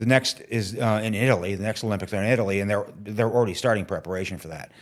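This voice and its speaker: The recording is very clean, with a silent background. A man with medium pitch uses an ordinary speaking voice with ordinary pitch variation. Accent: American. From upstate New York (Watertown). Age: 60s. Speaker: TV technical manager. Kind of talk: interview.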